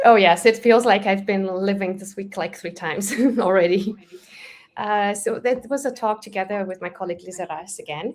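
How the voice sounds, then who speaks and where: Speaking at a moderate pace, a woman with medium pitch and ordinary pitch variation shows big swings in loudness. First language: Romanian. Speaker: Java developer advocate. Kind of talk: casual interview chat. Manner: halting, many fillers.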